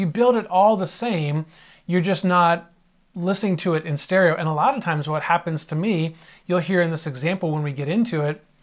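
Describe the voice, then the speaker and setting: Against a quiet background, a man with a high pitch talks at a fairly quick pace with ordinary pitch variation. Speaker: audio mixing instructor. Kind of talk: tutorial. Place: home room.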